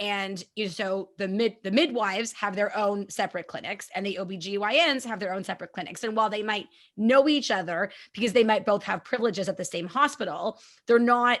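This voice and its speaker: This woman has an ordinary speaking voice, talking at a fairly quick pace with medium pitch and ordinary pitch variation. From Canada. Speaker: podcast host, mom of three. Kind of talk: casual interview chat.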